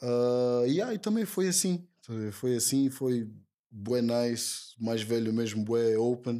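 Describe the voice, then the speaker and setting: A man speaks very slowly in a dark, mellow, medium-pitched voice with ordinary pitch variation. The recording is very clean, with a silent background. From Portugal, Lisbon (Lumiar). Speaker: rapper. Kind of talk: casual interview.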